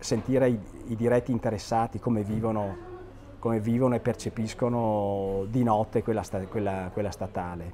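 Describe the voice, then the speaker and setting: Light background noise sits under the recording. A man speaks at a moderate pace with fairly even intonation. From Vicenza, Veneto, northern Italy; Veneto, Italy. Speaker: architect; interviewee. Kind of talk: interview commenting on photos. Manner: halting, many repetitions and fillers. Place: home room.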